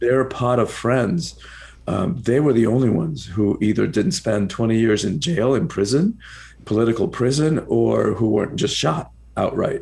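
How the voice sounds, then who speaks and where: A somewhat breathy man speaks with lively intonation and very even loudness. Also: medium pitch for a man, moderate pace. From Cuba, then rural Georgia US. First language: Spanish. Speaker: author and personal empowerment coach. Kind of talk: interview. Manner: repetitive restarts.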